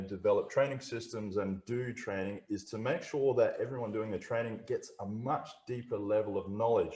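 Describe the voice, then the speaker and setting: A man with an Australian accent keeps to a moderate pace. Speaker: technical trainer. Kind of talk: webinar presentation. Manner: halting, many fillers.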